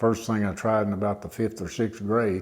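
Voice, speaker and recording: Here a man speaks with an Appalachian accent. His pitch is fairly low. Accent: Appalachian US Southern. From southwest Virginia. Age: 70s. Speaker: retired teacher and wood carver. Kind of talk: interview monologue. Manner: halting, many fillers.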